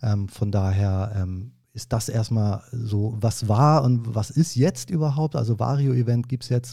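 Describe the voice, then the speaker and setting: A man speaks at a fairly slow pace. His tone is dark and mellow, and somewhat breathy. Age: 30s. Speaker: event manager. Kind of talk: casual chat. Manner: hesitant, many filler sounds.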